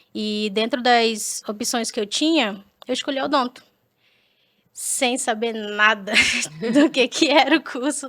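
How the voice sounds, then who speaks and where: A woman talks at a very slow pace and high pitch with ordinary pitch variation. Long, frequent pauses break up her speech. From Brazil, Manaus (Amazonas). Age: 20s. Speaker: dentist. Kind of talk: podcast interview. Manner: casual, hesitant with repetitions.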